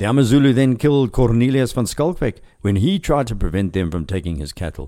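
The voice has a dark, mellow tone with vocal fry and very wide pitch swings at a moderate pace. The recording is very clean, the background silent. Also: man. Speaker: podcast host and history narrator. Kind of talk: history narration, scripted storytelling. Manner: measured, storytelling pace with wry asides; clear, formal, informative.

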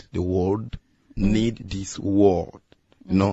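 Flat and monotone, a man talks with a Congolese accent. His pitch is fairly low for a man. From Congo and Angola. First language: Lingala. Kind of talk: testimony. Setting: radio studio.

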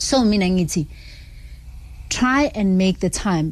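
A woman's somewhat breathy voice, ordinary in pitch variation and moderate in pace. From South Africa, Alexandra township, Johannesburg. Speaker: fitness trainer. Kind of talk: radio interview. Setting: radio studio.

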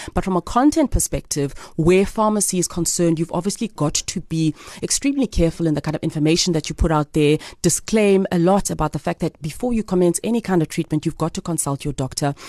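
A woman rattles along at a very fast pace in a fairly low, dark, mellow voice with ordinary pitch variation, the sound dry and close with no echo. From South Africa, Eastern Cape (East London). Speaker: magazine editor. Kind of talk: radio interview.

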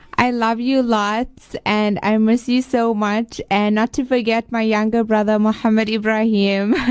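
This woman speaks at a fairly slow pace with very even loudness, a monotone, flat intonation, and hardly any pauses. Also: fairly high pitch for a woman. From Botswana. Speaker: student. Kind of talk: radio interview. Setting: radio studio.

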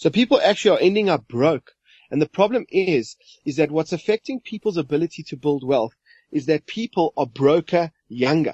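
Against a quiet background, a man with a fairly high, unremarkable speaking voice and lively intonation talks at a moderate pace in a dry, close recording with no echo. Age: 40s. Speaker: money coach. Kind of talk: podcast interview.

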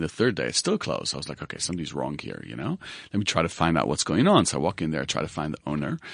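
Speaking at a very fast pace, a man has a very deep, low pitch with vocal fry. His intonation is lively, over a quiet background. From Israel. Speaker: recruitment business founder. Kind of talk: interview. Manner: hesitant, many fillers.

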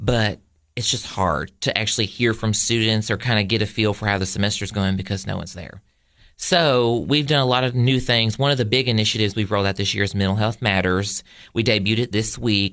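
A man's fairly low voice in a Southern US accent, fairly quick, with ordinary pitch variation. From Tennessee, Cookeville. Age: 20s. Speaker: college student and poultry exhibitor. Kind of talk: casual interview. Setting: radio studio. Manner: animated.

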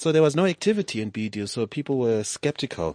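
Against a quiet background, a man with an ordinary speaking voice talks at a moderate pace with lively intonation in a dry, close sound with no echo. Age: young. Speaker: entrepreneur. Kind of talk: interview. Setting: studio.

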